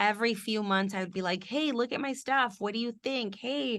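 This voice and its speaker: Her voice has a bright, sharp tone and a fairly high pitch as this woman speaks at a moderate pace with lively intonation over a quiet background. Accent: Spanish. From Houston, Texas. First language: Spanish. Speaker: TV news reporter. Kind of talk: mentoring interview.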